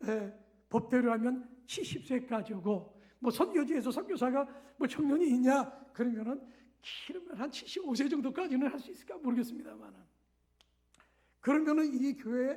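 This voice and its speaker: A man speaks in an extremely high voice with a dark, mellow tone and ordinary pitch variation. His pace is moderate, with long, frequent pauses. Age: 60s. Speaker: missionary pastor. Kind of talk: sermon. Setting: church. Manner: halting.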